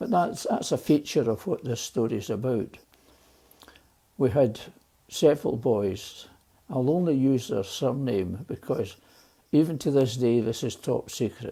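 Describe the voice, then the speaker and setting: A man with a Glaswegian accent speaks at a fairly slow pace with long, frequent pauses, a medium pitch and lively intonation. His tone is dark and mellow, on a very clean recording with a silent background. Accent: Glaswegian Scottish. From Scotland, Glasgow East End. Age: 80s+. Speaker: elderly storyteller. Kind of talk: personal storytelling. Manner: halting.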